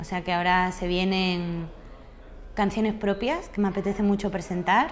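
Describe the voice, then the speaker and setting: The speech moves at a moderate pace with fairly even intonation, with light background noise behind it. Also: woman, medium pitch for a woman. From Andalusia, southern Spain. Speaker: singer and comedian. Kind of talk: interview answer. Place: home room. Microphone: lapel.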